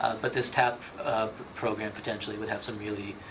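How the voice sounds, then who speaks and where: The intonation is monotone and flat. Noticeable background noise and audible room echo fill the recording. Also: man. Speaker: town official presenting at committee meeting. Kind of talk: public meeting presentation. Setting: town committee meeting. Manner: fast.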